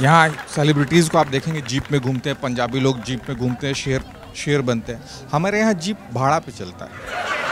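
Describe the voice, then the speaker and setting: Barely pausing, a man with a fairly high pitch and ordinary pitch variation talks over noticeable background noise. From Bihar, India. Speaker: stand-up comedian. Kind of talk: stand-up comedy set to an audience. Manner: lively, humorous, conversational.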